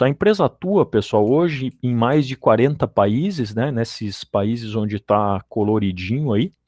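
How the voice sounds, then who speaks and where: Against a quiet background, a man of medium pitch with a dark, mellow tone speaks very slowly with lively intonation, in a dry, close sound with no echo. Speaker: electrical engineer. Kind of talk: lecture.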